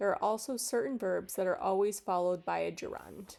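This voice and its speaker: A woman with an American accent talks at a moderate pace, her pitch medium. It's an unremarkable speaking voice on a very clean recording with a silent background. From United States. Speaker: English teacher. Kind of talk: tutorial. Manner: clear and measured.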